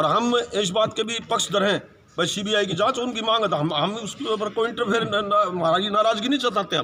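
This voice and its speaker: Over noticeable background noise, a man with a high pitch uses a raised, projected voice at a moderate pace, with ordinary pitch variation and hardly any pauses. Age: 60s. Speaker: community representative. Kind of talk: media interview.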